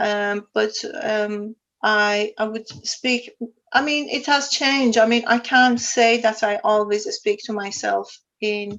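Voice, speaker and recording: Very slowly and with an Iranian accent, a woman speaks at a fairly high pitch with ordinary pitch variation. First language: Farsi. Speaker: sustainability consultant. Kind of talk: interview.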